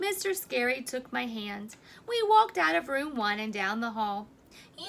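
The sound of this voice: What you hear is an unforced reading voice.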